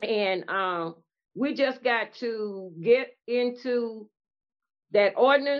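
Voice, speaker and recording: Very slowly, a woman with an American accent speaks at a fairly high pitch with ordinary pitch variation. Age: 70s. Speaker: community activist. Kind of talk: casual chat. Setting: video call.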